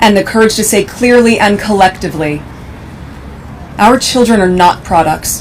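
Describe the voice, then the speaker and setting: Speaking at a moderate pace, a woman uses a medium pitch and a serious tone. There is noticeable background noise. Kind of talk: formal public speech at a memorial event. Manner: serious, emotional, measured.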